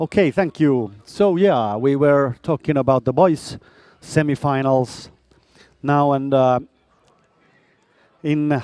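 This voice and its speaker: In a dry, close recording with no echo, a man with a Finnish accent speaks at a very slow pace and a fairly high pitch, with a dark, mellow tone. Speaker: sports commentator. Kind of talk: live commentary. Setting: bowling hall.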